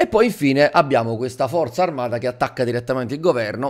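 A very fast male voice at medium pitch, with ordinary pitch variation and a quiet background. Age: 30s. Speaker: YouTuber and teacher; manga commentator streamer. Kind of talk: video commentary. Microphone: studio mic.

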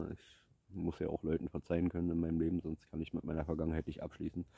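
A man speaks very fast in a dark, mellow tone. The sound is dry with no echo over a quiet background. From eastern Germany, Brandenburg. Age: 30s. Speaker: vlogger; vlogger telling his life story. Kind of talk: personal life story monologue. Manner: halting. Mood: reflective, serious. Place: forest. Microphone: phone near.

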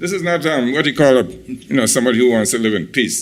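Lively in intonation and touched with vocal fry, a man at a medium pitch talks at a fairly quick pace. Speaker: resident giving public comment. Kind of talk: public comment at county meeting. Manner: halting, many fillers.

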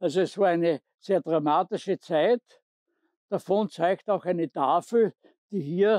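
A man speaks at a fairly slow pace in a high voice with a dark, mellow tone. The sound is dry and close with no echo, and his intonation stays fairly even. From southern Styria, Austria. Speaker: war witness guide. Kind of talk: guided tour narration.

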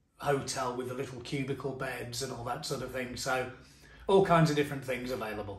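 A man's fairly even intonation is heard with audible room echo. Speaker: travel tips vlogger. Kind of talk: tutorial. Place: home room. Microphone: phone near.

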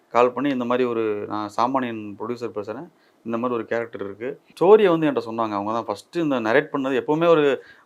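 The clip has a plain, everyday voice with ordinary pitch variation. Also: man. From Tamil Nadu, Dindigul. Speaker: film actor. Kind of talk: interview.

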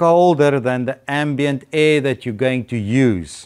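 Over a quiet background, a man speaks at a very slow pace with ordinary pitch variation. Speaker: presenter. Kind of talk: lecture. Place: hall.

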